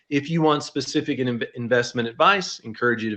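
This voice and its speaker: A man talks at a moderate pace with a medium-pitched, ordinary speaking voice. The background is quiet. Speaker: financial advisor, company founder. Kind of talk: webinar presentation. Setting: online webinar.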